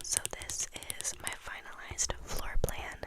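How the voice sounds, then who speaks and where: A woman whispers. Noticeable background noise runs behind her. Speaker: interior design college student. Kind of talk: ASMR ramble talking to camera, explaining a school project. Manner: close whispers, casual chatty.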